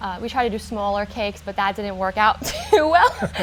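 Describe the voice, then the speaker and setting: Music plays in the background as a woman speaks with an American accent. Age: 20s. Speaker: baker, small business owner. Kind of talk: interview answer.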